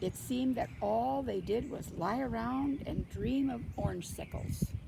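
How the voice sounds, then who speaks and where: With noticeable background noise behind her, a woman speaks at a very slow pace in a warm, gentle tone. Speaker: grandmother reading a children's picture book aloud. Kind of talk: children's story reading. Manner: warm, gentle storyteller.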